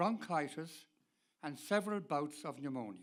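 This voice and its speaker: A man speaks with a Dublin accent and lively intonation. His pace is fairly slow. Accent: Irish (Dublin). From Ireland, Dublin. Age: 80s+. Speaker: person living with Alzheimer's, speaker. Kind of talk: prepared talk to an audience.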